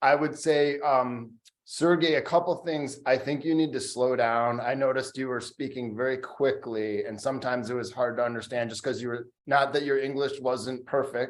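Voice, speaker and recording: At a moderate pace, a man with an unremarkable speaking voice talks at a medium pitch and keeps his intonation fairly even. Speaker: competition judge. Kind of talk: spoken feedback.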